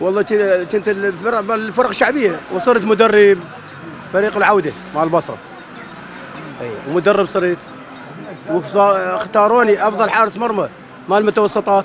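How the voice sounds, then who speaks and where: At a moderate pace, a man speaks with a high pitch. The sound is dry with no echo, with light background noise behind it. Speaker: interviewee. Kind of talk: interview answer. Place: market. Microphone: handheld.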